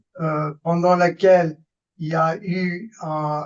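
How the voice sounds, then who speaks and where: A man speaks with an American accent in a high pitch. His intonation stays fairly even. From US Northeast, New York. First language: English (speaking French). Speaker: political science professor. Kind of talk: lecture. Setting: webinar video call. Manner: halting, many hesitations.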